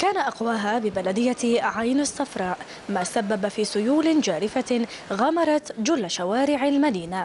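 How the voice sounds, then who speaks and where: A woman talks fairly slowly at a fairly high pitch, with lively intonation and very even loudness against noticeable background noise. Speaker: news reporter. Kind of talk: news report narration.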